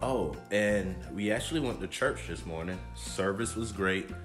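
Over clear music in the background, a man speaks at a fairly slow pace. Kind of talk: casual vlog chat. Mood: relaxed, upbeat. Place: home room. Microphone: phone near.

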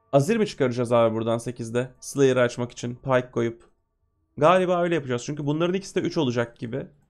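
Ordinary pitch variation shapes this man's medium-pitched voice as he hurries along at a very fast pace. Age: 20s. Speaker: gaming streamer. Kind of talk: live game commentary. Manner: animated.

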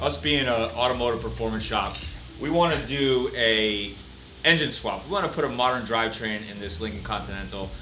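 A man's fairly low voice at a fairly quick pace with lively intonation, with music in the background and audible room echo. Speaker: shop owner host. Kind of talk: interview conversation. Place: garage.

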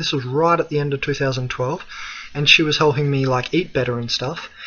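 Amid noticeable background noise, a man with an Australian accent speaks at a fairly high pitch with ordinary pitch variation. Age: 20s. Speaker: spiritual philosophy video blogger. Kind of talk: solo monologue talk. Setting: screencast recording. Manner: hesitant with many fillers.

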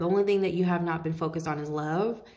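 Her voice is a normal speaking voice, as a woman with fairly low pitch and fairly even intonation. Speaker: tarot reader. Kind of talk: casual tarot reading talk. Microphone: phone near.

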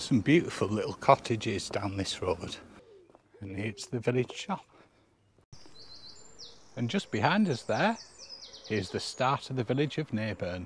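A man speaks slowly-ish with lively intonation and a fairly low pitch. His voice has a slightly husky edge, and he leaves long, frequent pauses.

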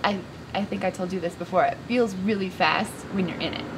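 Noticeable background noise is present. A woman talks fairly quickly over it. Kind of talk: interview answer. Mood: upbeat, friendly. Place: garden.

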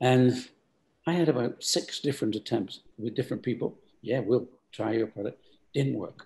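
A man with an English accent speaks at a moderate pace in a somewhat breathy, dark, mellow tone, with ordinary pitch variation and long, frequent pauses. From England. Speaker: company founder; guest. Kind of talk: interview. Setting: video call. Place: home room. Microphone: video call.

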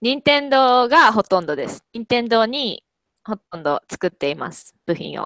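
A woman talks at a fairly slow pace with very wide pitch swings and big swings in loudness, the sound dry with no echo and the background quiet. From Kobe, Japan; Japan. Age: 20s. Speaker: university student with part-time job; language tutor. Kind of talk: casual language-practice conversation. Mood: cheerful, animated. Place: home room. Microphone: headset.

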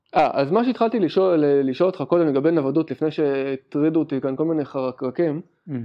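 The words come at a very fast pace with hardly any pauses. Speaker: podcast co-host. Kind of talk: casual chat.

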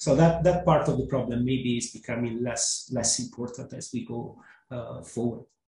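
A man talks at a moderate pace with big swings in loudness. Audible room echo fills an otherwise quiet background. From Italy. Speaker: economist; panelist. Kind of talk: webinar panel discussion. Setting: webinar. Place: home room.

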